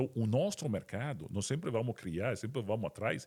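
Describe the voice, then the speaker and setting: A man is speaking. His pace is fairly quick. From Italy. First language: Italian (speaking Portuguese). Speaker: company CEO. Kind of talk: interview podcast. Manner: halting, many repetitions.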